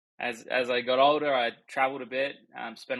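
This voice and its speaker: Bright, sharp tone from a man with an Australian accent at a moderate pace, on a very clean recording with a silent background. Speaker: accountant. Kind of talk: casual chat.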